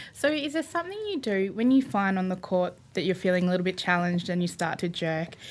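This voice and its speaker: Delivered in an Australian accent, the speech races along at a very fast pace with hardly any pauses and lively intonation, captured on a very clean recording with a silent background. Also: woman, medium pitch for a woman. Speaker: podcast co-host. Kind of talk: casual chat. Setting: studio.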